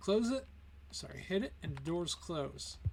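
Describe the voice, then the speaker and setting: A man is talking at a fairly quick pace. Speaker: gaming video creator and comic artist. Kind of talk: build showcase tour. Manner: casual, with fillers.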